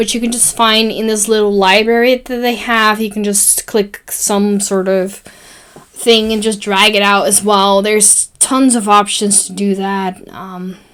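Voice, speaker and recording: The woman's voice sits at a medium pitch, with monotone, flat intonation. She speaks at a fairly slow pace over noticeable background noise. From Netherlands. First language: Dutch. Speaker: graphic design tutorial maker. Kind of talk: tutorial. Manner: casual, with fillers.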